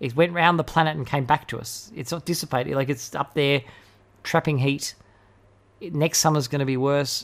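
At a fairly quick pace, a man with an Australian accent speaks in a fairly high voice, his intonation fairly even, with long, frequent pauses. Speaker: podcast host. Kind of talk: political commentary podcast. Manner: fast talker, ranting.

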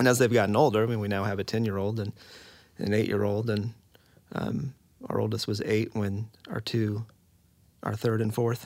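At a moderate pace and a fairly low pitch, a man speaks in a monotone, flat way with long, frequent pauses, on a very clean recording with a silent background. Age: 30s. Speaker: adoptive and foster parent. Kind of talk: casual interview conversation.

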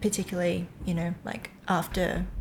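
Somewhat breathy, a woman speaks at a medium pitch and a moderate pace in a monotone, flat intonation. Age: 30s. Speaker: podcast host. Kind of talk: interview. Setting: guest's living room.

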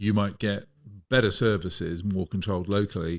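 The recording is very clean, with a silent background. A man talks at a moderate pace with fairly even intonation. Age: old. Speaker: podcast co-host, investor. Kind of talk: casual interview.

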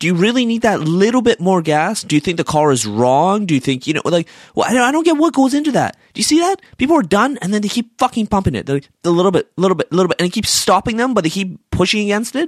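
The speaker talks at a very fast pace in an animated tone, with hardly any pauses. The recording is very clean, with a silent background. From Iran. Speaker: solo podcaster ranting about daily annoyances. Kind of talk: casual rant monologue.

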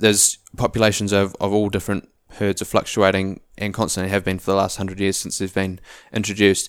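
In a New Zealand accent, a man with a fairly low voice talks very fast in a flat monotone, captured in a very clean recording with a silent background. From New Zealand, Auckland. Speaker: ecology student, hunter and entrepreneur. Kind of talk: casual interview.

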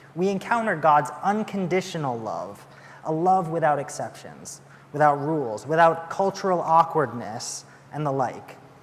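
Noticeable background noise runs under this recording. A man with a fairly high pitch speaks at a moderate pace with ordinary pitch variation. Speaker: assistant pastor. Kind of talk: sermon. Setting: church.

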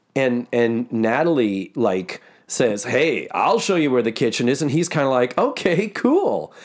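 A normal speaking voice with lively intonation runs on with hardly any pauses. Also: man, medium pitch for a man. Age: 50s. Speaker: podcast host and actor. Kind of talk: casual chat. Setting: office.

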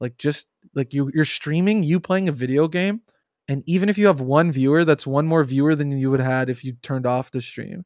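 A man with an unremarkable speaking voice talks at a fairly quick pace with ordinary pitch variation. The sound is dry and close, with no echo. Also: fairly high pitch for a man, very clean recording, silent background. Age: 20s. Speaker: game streamer and community manager. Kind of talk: casual chat. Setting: live stream.

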